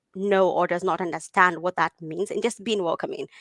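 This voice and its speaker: A woman with medium pitch is heard with a dry, close sound and no echo. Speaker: tech leader and software engineer. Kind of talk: interview. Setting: live video Q&A.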